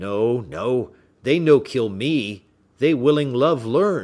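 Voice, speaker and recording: This man puts on a raspy character voice with a medium pitch and very wide pitch swings. He talks at a very slow pace. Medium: read story. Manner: broken, simplified English; earnest, eager.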